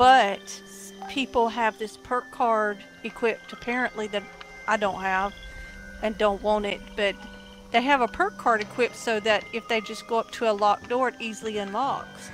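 Music plays in the background as a woman with a Southern US accent speaks at a moderate pace. Her pitch is fairly high, and her intonation stays fairly even. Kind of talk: casual gaming chat.

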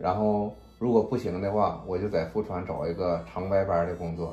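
A man's fairly low-pitched voice with audible room echo and faint music in the background. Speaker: vlogger. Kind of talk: casual vlog chat. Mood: earnest, planning a business. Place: kitchen. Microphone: phone near.

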